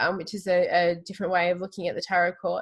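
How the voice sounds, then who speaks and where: A woman speaks with an Australian accent. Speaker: tarot reader. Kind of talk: interview conversation.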